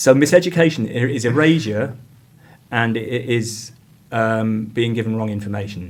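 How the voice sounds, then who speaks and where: An English accent at a moderate pace, with ordinary pitch variation and audible room echo. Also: man, medium pitch for a man. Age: 50s. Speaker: community arts director and PhD researcher. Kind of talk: podcast interview. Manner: halting, with many fillers and restarts.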